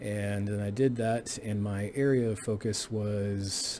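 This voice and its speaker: Heard with audible room echo, a man with a Texan accent has a fairly low pitch, a dark, mellow tone and fairly even intonation. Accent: Texan American English. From South Texas, near the Mexican border. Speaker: college history professor. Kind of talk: course introduction lecture. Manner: hesitant, many filler words.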